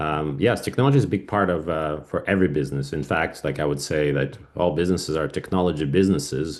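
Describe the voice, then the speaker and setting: With a Russian accent, a man speaks at a very fast pace in a very deep, low voice against a quiet background. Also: ordinary pitch variation. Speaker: cybersecurity business owner. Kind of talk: podcast interview. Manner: halting, many fillers.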